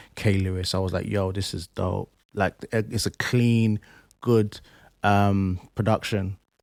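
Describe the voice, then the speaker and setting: A man with a London accent speaks at a fairly slow pace in a fairly low, monotone, flat voice. The sound is dry and close with no echo, in a very clean recording with a silent background. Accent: London English, multicultural youth speech. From East London, England. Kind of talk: casual interview chat.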